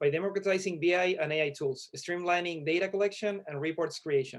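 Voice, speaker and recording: A man with a Chilean accent at a high pitch, fairly quick pace and fairly even intonation. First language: Spanish. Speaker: startup founder. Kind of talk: elevator pitch.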